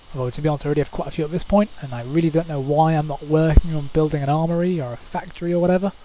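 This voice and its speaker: In a British accent, the speech runs at a very fast pace with hardly any pauses. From Britain. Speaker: gaming commentator. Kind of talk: game replay commentary.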